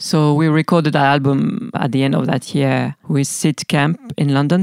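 In a French accent, the voice carries a dark, mellow tone with a dry, close sound and no echo. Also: woman. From France. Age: 40s. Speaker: musician. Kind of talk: interview monologue. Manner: halting.

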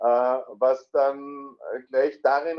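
This is a man talking. He has an Austrian accent. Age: 40s. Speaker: amateur golfer, coaching client. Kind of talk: interview.

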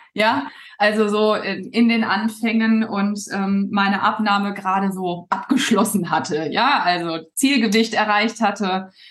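A somewhat breathy woman at a fairly slow pace. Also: medium pitch for a woman. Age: 40s. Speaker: weight loss coach. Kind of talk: casual interview. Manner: hesitant with many fillers.

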